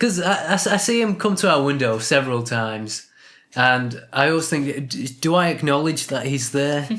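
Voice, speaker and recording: A man talks at a moderate pace with lively intonation. There is audible room echo. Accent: British. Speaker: podcast co-host. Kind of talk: casual chat. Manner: mumbling; halting.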